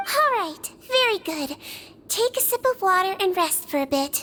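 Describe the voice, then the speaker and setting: Squeaky and put-on, this character voice swings very widely in pitch. The pace is moderate. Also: woman, extremely high pitch for a woman. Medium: video game. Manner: gentle, kind, soothing.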